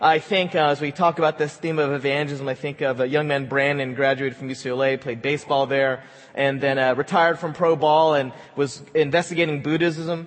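The speech moves at a fairly quick pace in a normal speaking voice. Its intonation stays fairly even. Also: man, fairly high pitch for a man. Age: 40s. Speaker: pastor. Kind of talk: sermon.

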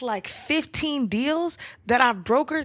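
A woman with a slight Southern US accent speaks in a high voice. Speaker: podcast co-host. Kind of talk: casual chat.

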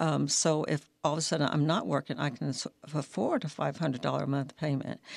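A woman speaks in a very deep, low pitch with vocal fry. Her loudness stays very even. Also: ordinary pitch variation, fairly quick pace. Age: 70s. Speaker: retired federal employee sharing her homelessness story. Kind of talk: personal testimony in a radio interview.

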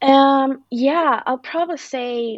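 A woman speaks with a Spanish accent in a dry, close sound with no echo. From Mexico. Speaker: content marketing manager. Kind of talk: interview.

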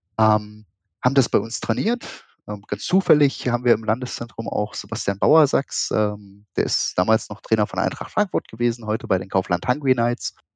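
A man speaks in a normal speaking voice at medium pitch and a moderate pace, with ordinary pitch variation, in a dry, close sound with no echo over a quiet background. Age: 30s. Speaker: esports association official. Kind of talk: casual interview.

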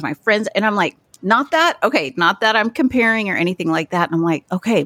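A woman talks at a fairly quick pace in an ordinary speaking voice with lively intonation. The sound is dry and close, with no echo. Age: 40s. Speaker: podcast host. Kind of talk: casual chat.

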